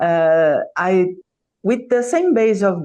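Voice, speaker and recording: Here a woman speaks with lively intonation. Her tone is dark and mellow. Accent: Brazilian Portuguese. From Brazil. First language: Portuguese. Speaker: origami artist. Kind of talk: interview. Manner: halting.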